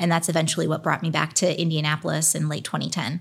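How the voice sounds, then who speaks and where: A woman with an American accent talks very fast at a fairly low pitch. The recording is very clean against a silent background. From Pennsylvania, US. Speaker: innovation district executive. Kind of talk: casual interview. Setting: studio.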